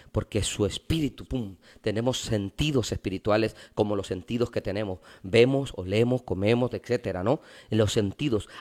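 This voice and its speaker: Here is a man with an ordinary speaking voice and a fairly low pitch. He speaks at a moderate pace with ordinary pitch variation on a very clean recording with a silent background. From Mexico, Veracruz port. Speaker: pastor. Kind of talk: casual interview.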